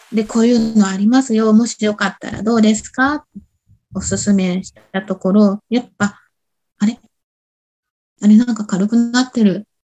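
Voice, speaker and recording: A woman's fairly high, somewhat breathy voice with a dark, mellow tone, moderate pace, fairly even intonation, big swings in loudness, and long, frequent pauses. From Shimizu, Shizuoka, Japan. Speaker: body-work instructor. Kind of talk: interview chat. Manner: halting, many fillers.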